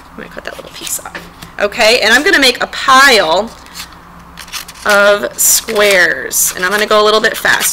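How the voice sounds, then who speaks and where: A woman's fairly high voice with lively intonation, set against noticeable background noise. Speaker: elementary art teacher. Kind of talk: tutorial. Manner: fast.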